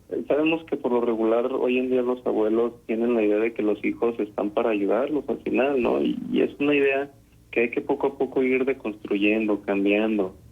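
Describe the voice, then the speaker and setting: At a moderate pace, a man speaks in a normal speaking voice with medium pitch, ordinary pitch variation and very even loudness. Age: young. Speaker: psychologist. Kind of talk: radio interview. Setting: phone call.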